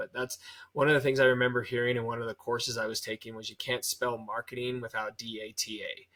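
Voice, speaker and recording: A bright, sharp tone at a very fast pace. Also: man. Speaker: podcast host and marketing consultant. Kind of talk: casual interview. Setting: video call.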